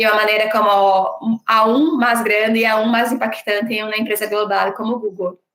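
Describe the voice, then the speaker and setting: With a Brazilian accent, a woman talks at a moderate pace in a fairly high pitch. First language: Portuguese (speaking Spanish). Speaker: diversity and inclusion leader. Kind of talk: panel interview.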